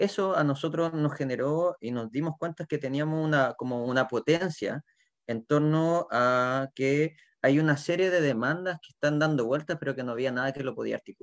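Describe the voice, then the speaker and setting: Dry and close with no echo, a man's fairly high voice moves at a moderate pace with ordinary pitch variation. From southern Chile, Puerto Montt. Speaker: teacher and community activist. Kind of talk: panel discussion. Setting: video call. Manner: halting, repeats words.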